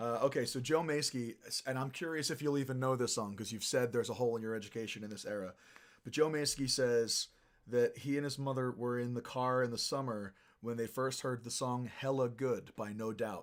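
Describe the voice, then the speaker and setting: A man with an ordinary speaking voice at medium pitch, fairly quick pace and fairly even intonation, on a very clean recording with a silent background. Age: 30s. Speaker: musician and livestream host. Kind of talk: casual chat. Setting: livestream.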